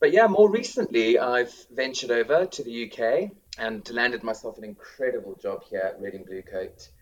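A man speaks in a South African accent at a moderate pace. His loudness swings widely. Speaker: school drama teacher. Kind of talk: casual interview.

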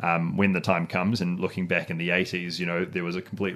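A man with a New Zealand accent talks at a very fast pace. His pitch is very deep and low. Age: 20s. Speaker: local politician. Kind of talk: casual chat.

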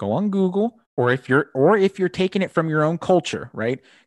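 Against a quiet background, a man talks at a fairly quick pace with very wide pitch swings, the sound dry and close with no echo. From Cuban-American family. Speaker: podcast host, tabletop gamer. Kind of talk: casual chat. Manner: animated.

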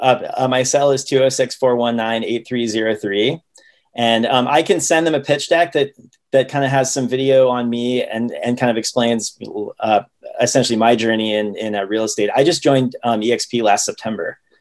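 A man speaks in an ordinary speaking voice at a moderate pace. His pitch is medium, with ordinary pitch variation. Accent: American. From Ohio, US Midwest. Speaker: real estate listing agent. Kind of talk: casual interview.

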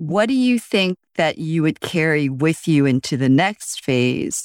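The sound of a woman talking is dry and close, without any echo. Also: very clean recording, silent background. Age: 50s. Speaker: podcast host. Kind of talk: interview.

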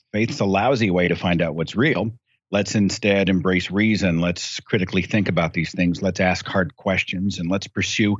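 A man with an American accent speaks at a moderate pace in a very deep, low pitch. His pitch varies in an ordinary way against a quiet background. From United States. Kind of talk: casual chat.

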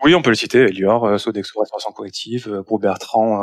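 A man's fairly low voice keeps a fairly even intonation. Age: 40s. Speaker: startup founder. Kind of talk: interview. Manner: halting, many repetitions.

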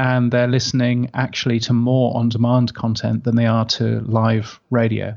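Against a quiet background, a man with an English accent talks at a moderate pace in a medium pitch, his intonation monotone and flat. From UK. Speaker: radio and podcast industry expert. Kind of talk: interview.

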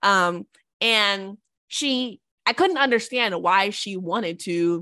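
A woman's bright, sharp tone with ordinary pitch variation over a quiet background. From Jamaica. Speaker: business founder and CEO. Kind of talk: casual interview.

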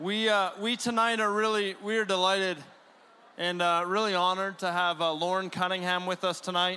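Raising and projecting his voice, a man speaks in a high, bright, sharp tone with monotone, flat intonation on a very clean recording with a silent background. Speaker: event host introducing speaker. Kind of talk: introduction.

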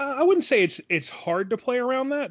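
A man is talking at a fairly quick pace. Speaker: podcast host and dungeon master. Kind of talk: casual chat.

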